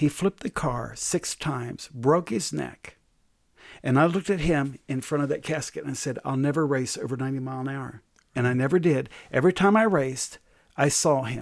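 A man speaks in an ordinary speaking voice, fairly high in pitch with ordinary pitch variation. The recording is very clean, with a silent background. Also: moderate pace. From US, Delaware. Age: 60s. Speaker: pastor and prophet, author. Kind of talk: interview about faith and leadership.

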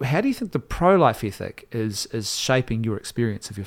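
A man at medium pitch, in a very clean recording over a silent background. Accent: New Zealand. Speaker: podcast host. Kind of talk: casual discussion; donation appeal. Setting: studio in Wellington.

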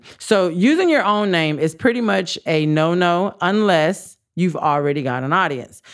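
A woman's fairly low voice with lively intonation, in a very clean recording with a silent background. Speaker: podcast host and entrepreneur coach. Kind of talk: solo podcast tutorial. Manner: fast.

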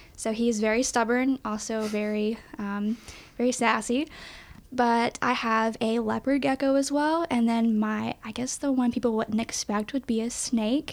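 A woman with an East Tennessee accent speaks at a moderate pace in a fairly high voice, her intonation fairly even. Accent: Southern US (East Tennessee). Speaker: college communications staff. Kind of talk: casual interview.

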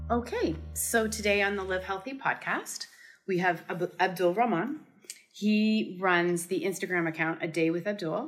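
Here a woman talks at a fairly slow pace, her pitch fairly low. It is a plain, everyday voice. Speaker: podcast host. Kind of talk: casual interview.

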